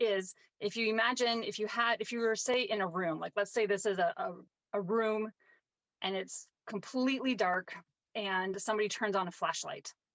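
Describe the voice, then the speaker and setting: Here is a woman in an ordinary speaking voice, medium in pitch and fairly quick. Her pitch varies in an ordinary way, and the sound is dry and close with no echo. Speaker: painting teacher. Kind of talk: tutorial. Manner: casual with frequent fillers.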